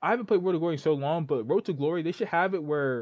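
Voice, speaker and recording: Animated in tone, a man speaks at a fairly high pitch. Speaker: gaming commentator. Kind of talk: casual commentary. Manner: fast.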